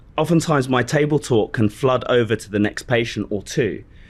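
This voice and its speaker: The background stays quiet. A man talks, his pitch varying in an ordinary way. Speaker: chiropractor. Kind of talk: audience question. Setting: stage with live audience. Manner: loud, energetic.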